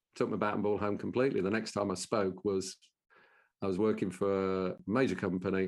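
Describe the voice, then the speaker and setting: Over a quiet background, a man with a Brummie accent and a very deep, low voice talks at a fairly quick pace. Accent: Brummie (Birmingham English). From Birmingham, England. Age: 60s. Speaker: business owner and professional speaker. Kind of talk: interview conversation.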